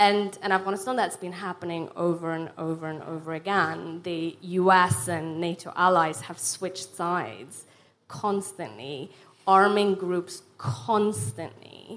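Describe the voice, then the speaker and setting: A woman speaks in a plain, everyday voice with a fairly low pitch. Her pace is fairly slow, and her loudness swings a lot. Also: ordinary pitch variation. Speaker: refugee charity founder. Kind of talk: panel discussion. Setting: stage with audience.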